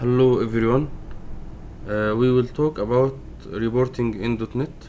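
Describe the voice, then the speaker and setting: The speaker is a man with a non-native accent. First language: not English. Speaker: programming tutorial maker. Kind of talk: tutorial. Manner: slow; halting, many fillers. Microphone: poor sound quality.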